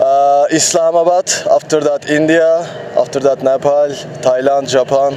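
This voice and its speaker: A man with a Turkish accent, fairly high in pitch, fairly slow, monotone and flat, very even in loudness, over noticeable background noise. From Turkey. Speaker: touring cyclist. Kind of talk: interview. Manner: halting.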